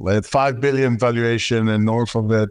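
Over a quiet background, a man with an Israeli accent speaks at a moderate pace in a dry, close sound with no echo. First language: Hebrew. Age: 30s. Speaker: tech company founder and CEO. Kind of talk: interview.

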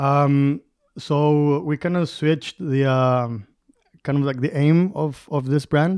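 A man with a Spanish accent speaks at a very slow pace. His fairly high pitch stays fairly even in intonation. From Durango, Mexico. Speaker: mezcal producer. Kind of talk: interview.

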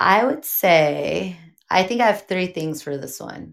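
This woman has an American accent and a bubbly, nervous tone. Her intonation is lively, with vocal fry. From Pomona, California. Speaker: hairstylist and influencer. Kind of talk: casual interview. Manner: bubbly, nervous at first.

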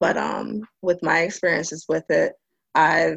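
A woman talks fairly slowly, with a dry, close sound and no echo. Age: 20s. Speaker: marine sciences graduate student. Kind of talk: panel discussion. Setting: live stream.

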